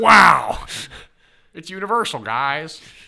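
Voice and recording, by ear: This is a put-on character voice from a man. His pitch sits fairly high.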